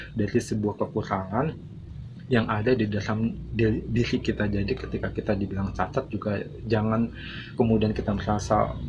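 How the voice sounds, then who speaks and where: A man speaks at a medium pitch with ordinary pitch variation. His pace is moderate. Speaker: YouTube channel owner, vlogger. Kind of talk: motivational monologue to viewers. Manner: halting, many filler sounds.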